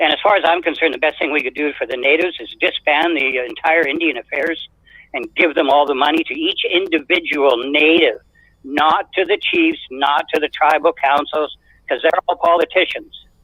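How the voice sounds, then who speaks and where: In a western Canadian accent, a man speaks at a moderate pace with a fairly high pitch and fairly even intonation. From Canada, British Columbia (Sechelt). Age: 70s. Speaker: caller. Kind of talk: call-in opinion.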